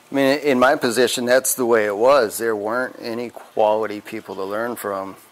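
A man with an unremarkable speaking voice, medium in pitch, fairly even in intonation, at a moderate pace with hardly any pauses. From Wisconsin. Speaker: tattoo artist. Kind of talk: interview. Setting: tattoo shop.

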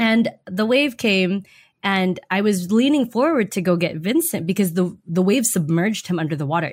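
A somewhat breathy woman with an American accent and medium pitch talks at a moderate pace with lively intonation. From Germany, US military family. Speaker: nurse, army veteran and filmmaker. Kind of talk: interview. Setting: remote call with babies nearby.

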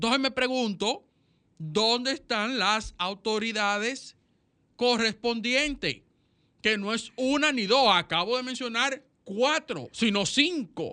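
The speech comes at a very slow pace against a quiet background. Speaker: radio co-host. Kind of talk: radio magazine chat and commentary.

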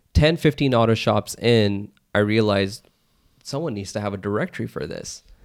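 Heard in a normal speaking voice at a moderate pace, the speech has ordinary pitch variation and big swings in loudness. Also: man, fairly low pitch for a man. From US, Pakistani-American family. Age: 30s. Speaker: entrepreneur. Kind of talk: casual chat.

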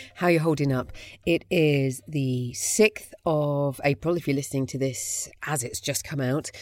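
With a British accent, a woman speaks in a very deep, low pitch and fairly even intonation. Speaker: podcast host. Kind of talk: casual interview. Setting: video call.

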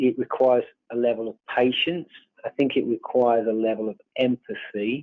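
A man with a British accent at a fairly quick pace and very even loudness. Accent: English (UK). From England (born on a farm in Ireland). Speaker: farm succession advisor. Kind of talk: interview.

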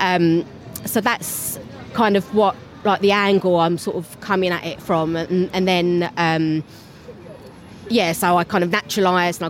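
This is a woman speaking. She has a Cockney accent. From London. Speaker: theatre-maker. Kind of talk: interview.

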